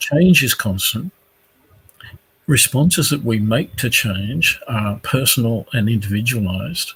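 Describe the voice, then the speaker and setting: At a fairly slow pace, a man speaks at a medium pitch with an Australian accent. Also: lively intonation. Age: 60s. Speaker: career expert. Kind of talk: panel discussion. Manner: hesitant, with many fillers.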